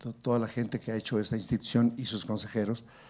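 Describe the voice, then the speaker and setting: At a very fast pace, a man talks with a dark, mellow tone and medium pitch. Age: 60s. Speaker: legislator and physician. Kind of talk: panel discussion. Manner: animated.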